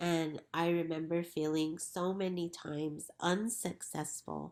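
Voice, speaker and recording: Fairly low in pitch with fairly even intonation, a woman in an ordinary speaking voice talks with an American accent. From New Mexico, US (Pueblo communities). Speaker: educator and school co-founder. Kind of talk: interview.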